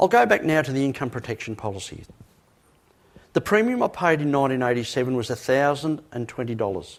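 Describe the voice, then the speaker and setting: Talking very fast in an Australian accent, a man holds a medium pitch with ordinary pitch variation. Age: 60s. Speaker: motivational speaker. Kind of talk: motivational talk. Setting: stage with audience. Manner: emphatic.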